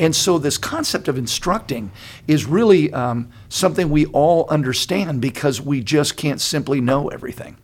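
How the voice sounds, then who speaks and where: Speaking at a moderate pace with ordinary pitch variation, a man with a fairly high pitch has an unremarkable speaking voice, captured in a very clean recording with a silent background. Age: 60s. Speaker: pastor. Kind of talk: casual chat.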